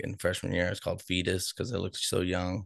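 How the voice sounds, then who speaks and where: Speaking very fast, a man talks with an American accent. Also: quiet background. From Boston, US. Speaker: podcast host. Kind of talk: casual interview chat.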